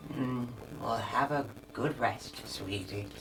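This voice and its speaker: A man puts on a character voice, warm in tone and medium in pitch. He talks at a fairly slow pace over clear background noise. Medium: actual play. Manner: soft, warm, grandmotherly.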